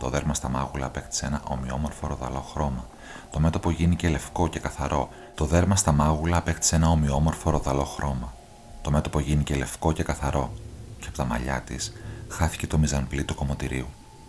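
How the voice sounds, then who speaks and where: A man's very deep, low voice, fairly quick and fairly even in intonation, over noticeable background noise. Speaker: audiobook narrator. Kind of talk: literary audiobook reading, scripted narration of a novel. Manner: measured, even storytelling pace.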